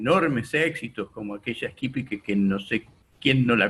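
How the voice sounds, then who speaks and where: A somewhat breathy male voice. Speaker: radio host. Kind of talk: radio interview questions.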